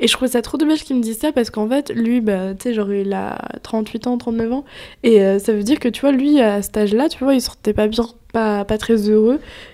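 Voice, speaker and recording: At a moderate tempo, an unremarkable speaking voice shows typical rises and falls in pitch. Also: woman, fairly high pitch for a woman. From western France, near Nantes. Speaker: podcast co-host, entrepreneur. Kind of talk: casual chat.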